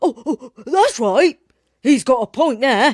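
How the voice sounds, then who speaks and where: In a put-on character voice, the speaker uses a high pitch at a fairly slow pace. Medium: read story.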